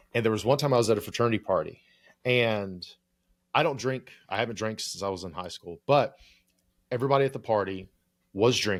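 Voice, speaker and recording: An American-accented man speaks at a medium pitch with ordinary pitch variation, recorded very cleanly against a silent background. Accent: Appalachian accent, deliberately evened out. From Appalachia (US). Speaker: clinical psychologist turned creator coach, podcast co-host. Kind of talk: casual podcast discussion. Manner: casual, lots of filler words and swearing.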